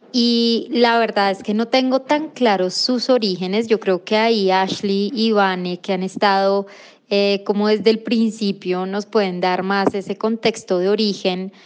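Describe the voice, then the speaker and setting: Speaking at a fairly slow pace with hardly any pauses, a woman has an unremarkable speaking voice, a medium pitch and fairly even intonation. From Colombia, Chía near Bogotá. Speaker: nonprofit education executive. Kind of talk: recorded voice message answers.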